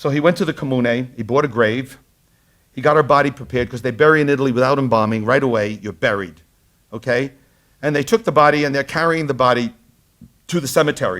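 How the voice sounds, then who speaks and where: Talking very fast yet with long, frequent pauses, a man of medium pitch speaks in a strong Brooklyn accent. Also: ordinary pitch variation. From Brooklyn, New York. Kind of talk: lecture. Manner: animated storytelling.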